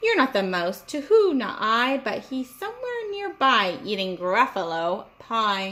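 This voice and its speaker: Using a put-on character voice, a woman speaks at a high pitch and a fairly slow pace, her pitch swinging very widely. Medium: read story.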